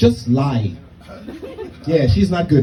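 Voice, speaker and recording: Amid noticeable background noise and audible room echo, a man speaks at a medium pitch and a moderate pace. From Germany. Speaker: stand-up comedian. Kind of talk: stand-up. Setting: stage with audience.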